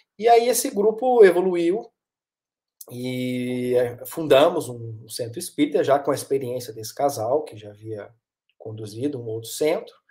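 Against a quiet background, a man with a Minas Gerais accent speaks at a fairly slow pace, his dark, mellow voice pitched fairly high and swinging very widely in pitch. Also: big swings in loudness. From Minas Gerais, Brazil (Varginha); Minas Gerais, Brazil. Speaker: psychoanalyst and therapist; guest. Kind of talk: interview conversation. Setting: live stream. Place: home room.

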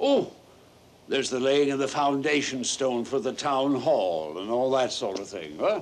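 A man with a medium pitch talks at a moderate pace with lively intonation. Noticeable background noise runs behind him. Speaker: actor playing an elderly character. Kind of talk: theatrical play performance. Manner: languid, rueful, comic.

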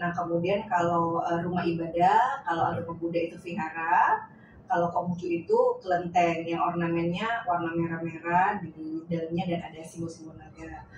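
Audible room echo surrounds a woman whose fairly low voice stays monotone and flat. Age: 40s. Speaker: Confucian religious community leader. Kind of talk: interview.

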